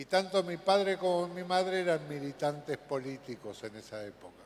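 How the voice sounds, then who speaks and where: Pitch varies in an ordinary way as the speech proceeds at a moderate pace. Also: man. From Argentina, Buenos Aires. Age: 70s. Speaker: conference speaker. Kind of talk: conference talk.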